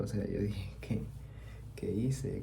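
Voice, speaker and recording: Relaxed in tone, a man with a fairly low pitch speaks at a moderate pace with very wide pitch swings. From Venezuela. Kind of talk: ASMR storytelling, soft-spoken personal story. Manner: soft-spoken, relaxed.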